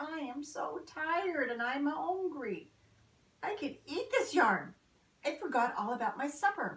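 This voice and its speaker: A female-sounding, put-on character voice, high in pitch, delivered at a moderate pace. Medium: read story. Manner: gentle, fussing.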